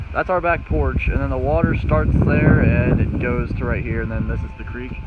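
Loud background noise accompanies a man speaking at a moderate pace with ordinary pitch variation. The sound is dry, with no echo. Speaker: home tour vlogger. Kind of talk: casual vlog chat. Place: garden. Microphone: phone near.

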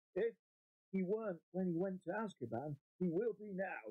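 A man puts on a character voice, drawling at a moderate pace. His pitch sits high, and his intonation is lively. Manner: slow, drawling.

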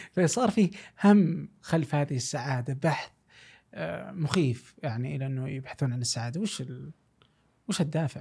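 Against a quiet background, a man with a Saudi accent talks at a fairly slow pace, with long, frequent pauses. His fairly high voice is somewhat breathy with a dark, mellow tone and lively intonation. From Saudi Arabia. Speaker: podcast host. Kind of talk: casual chat. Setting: studio. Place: studio. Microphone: studio mic.

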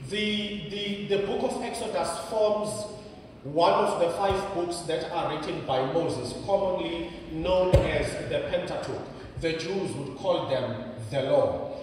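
Amid light background noise and strong room echo, a man speaks at a fairly slow pace with a high pitch. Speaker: preacher. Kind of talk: sermon. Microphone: handheld.

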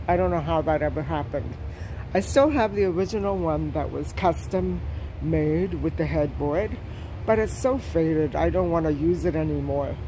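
The speech moves at a moderate pace. Background noise is noticeable. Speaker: shopping vlogger. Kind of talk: casual vlog chat. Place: shop. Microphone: phone near.

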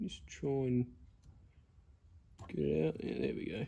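A man speaks at a fairly slow pace in a dark, mellow tone with vocal fry. His pitch swings widely. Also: medium pitch for a man.

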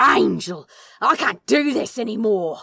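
A female-sounding voice growls through a put-on character voice at a fairly high pitch and a fairly slow pace. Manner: growled, angry.

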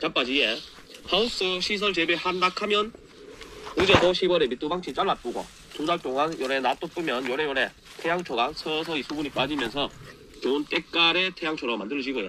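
Recorded with a dry sound and no echo but noticeable background noise, a man speaks with a Gyeongsang accent. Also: fairly high pitch for a man, moderate pace. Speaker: farmer, agricultural company head. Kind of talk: farming how-to talk to camera. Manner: casual, folksy. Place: farm. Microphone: phone near.

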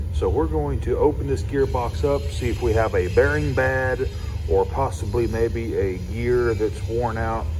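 A man talking at a fairly slow pace, with noticeable background noise. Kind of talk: tutorial. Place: workshop. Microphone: phone near.

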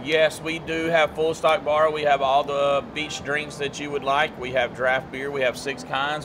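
Music plays in the background. A man speaks over it at a fairly slow pace. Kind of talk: interview answer. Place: bar.

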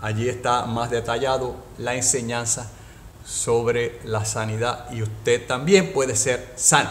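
A man speaks slowly at a medium pitch, his fairly bright tone and fairly even intonation carried with audible room echo.

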